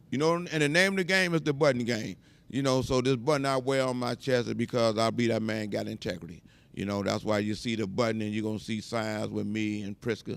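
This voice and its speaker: A man with an American accent at medium pitch, talking at a fairly quick pace with lively intonation. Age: 60s. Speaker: community activist. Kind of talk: casual interview chat. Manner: animated.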